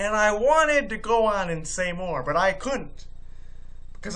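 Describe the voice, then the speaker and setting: A man speaks at a fairly slow pace in a raised, projected voice with a bright, sharp tone, and audible room echo surrounds him. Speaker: video blogger. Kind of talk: vlog monologue. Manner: stutters.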